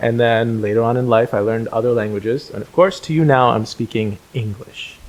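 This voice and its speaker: A man with a Telugu accent at a fairly quick pace. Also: medium pitch for a man, ordinary pitch variation. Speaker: podcast host. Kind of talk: casual chat.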